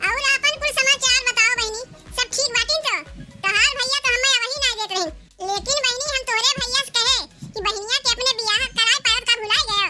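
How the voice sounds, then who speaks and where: A woman's cartoonish character voice, extremely high in pitch, at a moderate pace with fairly even intonation, music in the background. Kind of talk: village comedy cartoon dialogue. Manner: chatty, ingratiating, full of excuses.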